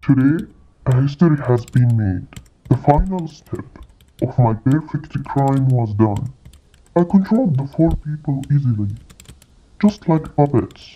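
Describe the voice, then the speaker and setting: Low-to-middle pitch at a moderate pace, with long, frequent pauses. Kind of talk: courtroom speech. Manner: cold, gloating, menacing.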